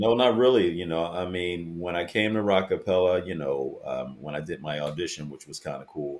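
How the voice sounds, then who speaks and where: A man with a very deep, low, resonant voice barely pauses, his loudness swinging widely. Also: ordinary pitch variation, moderate pace. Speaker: a cappella bass singer. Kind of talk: casual interview chat.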